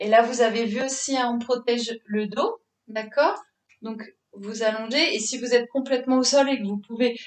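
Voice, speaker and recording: Speaking very slowly, a woman uses a high voice with ordinary pitch variation. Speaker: fitness instructor. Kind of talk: exercise class instruction. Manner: halting.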